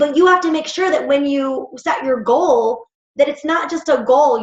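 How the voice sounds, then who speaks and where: Her pitch varies in an ordinary way as this woman talks. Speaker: fitness team coach. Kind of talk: team call pep talk. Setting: group call. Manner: fast; animated.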